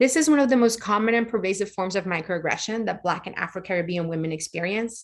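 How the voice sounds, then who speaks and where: Over a quiet background, a woman with a Spanish accent talks in a fairly high pitch with lively intonation. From Puerto Rico. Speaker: lighting professional, conference presenter. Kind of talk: conference presentation. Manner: fast-paced.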